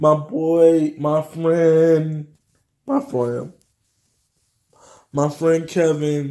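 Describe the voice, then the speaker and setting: A man talks very slowly with long, frequent pauses in a dark, mellow tone. His pitch is fairly high, and his intonation is monotone and flat. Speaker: vlogger. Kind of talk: casual vlog monologue. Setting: home office, video recording. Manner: halting, stumbling over words.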